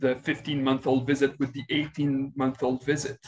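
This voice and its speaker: A man with a slight Quebec accent talks at a moderate pace in a medium-pitched, somewhat breathy voice. His intonation is monotone and flat. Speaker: pediatric infectious disease physician. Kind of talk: webinar presentation and Q&A. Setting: online webinar. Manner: hesitant, many fillers.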